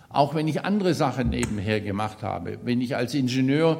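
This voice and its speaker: There is audible room echo as a man speaks at a medium pitch. His intonation is lively. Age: 70s. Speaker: lay preacher. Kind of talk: sermon. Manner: halting, with fillers and repetitions.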